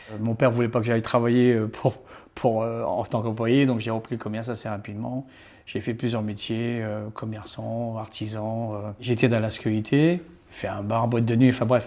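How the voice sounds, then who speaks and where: In a monotone, flat delivery, a man speaks with a dark, mellow tone on a very clean recording with a silent background. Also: medium pitch for a man, moderate pace. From Réunion. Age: 60s. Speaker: entrepreneur. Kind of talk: casual interview. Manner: hesitant, many fillers.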